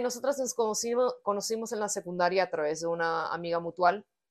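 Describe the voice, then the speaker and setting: A woman in an ordinary speaking voice talks at a moderate pace with lively intonation and a medium pitch, against a quiet background. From United States. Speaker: punk band musician. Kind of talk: casual interview.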